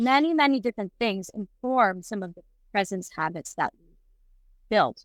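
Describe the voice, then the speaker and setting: A woman talks at a moderate pace with lively intonation in a very clean recording with a silent background and a dry, close sound with no echo. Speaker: presence coach, co-host. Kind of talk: casual chat. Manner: loud.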